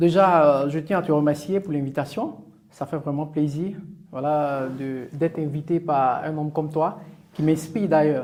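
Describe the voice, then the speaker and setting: At a fairly slow pace, a man with a fairly high pitch speaks with fairly even intonation in an ordinary speaking voice. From northern Côte d'Ivoire. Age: 30s. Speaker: entrepreneur. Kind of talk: podcast interview.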